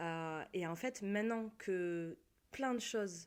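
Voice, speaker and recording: This woman has a plain, everyday voice at a medium pitch. She speaks at a fairly slow pace with ordinary pitch variation. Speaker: guest in a chat. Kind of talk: casual chat.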